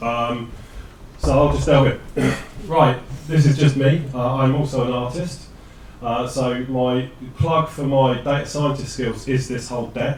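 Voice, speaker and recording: A man with a British accent speaks at a fairly slow pace and medium pitch in a monotone, flat delivery, with audible room echo and noticeable background noise. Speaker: data scientist. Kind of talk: presentation. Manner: loud.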